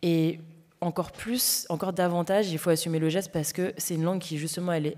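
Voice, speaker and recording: On a very clean recording with a silent background, a woman speaks at fairly low pitch, moderate pace and fairly even intonation. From Paris banlieue, Seine-Saint-Denis (93). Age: young. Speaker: novelist. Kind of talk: festival panel discussion. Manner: halting, many fillers.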